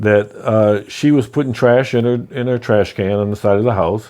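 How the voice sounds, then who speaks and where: The pace is moderate throughout. An unremarkable speaking voice carries ordinary pitch variation. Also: man. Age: 60s. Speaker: real estate investor. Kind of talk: personal story. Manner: casual, conversational.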